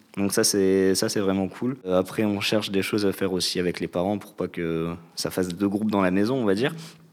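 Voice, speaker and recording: A man with an unremarkable speaking voice talks at a fairly quick pace. His pitch is fairly low and his intonation fairly even. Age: 20s. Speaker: civic service volunteer. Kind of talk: casual chat.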